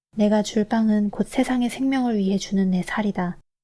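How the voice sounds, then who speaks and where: Over a very clean recording with a silent background, a woman speaks at a moderate pace in a fairly high pitch, her tone dark and mellow, somewhat breathy, with fairly even intonation. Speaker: scripture reader. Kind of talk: calm Bible reading. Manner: shifting pitch.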